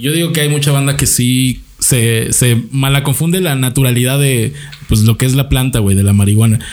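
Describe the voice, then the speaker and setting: A man with an unremarkable speaking voice, medium pitch and ordinary pitch variation, at a moderate pace with very even loudness. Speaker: comedian. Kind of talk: casual chat.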